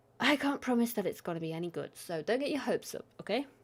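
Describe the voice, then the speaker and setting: Very wide pitch swings stand out in this very clean recording with a silent background. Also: woman. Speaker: streamer. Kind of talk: casual live stream chat. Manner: casual, hesitant.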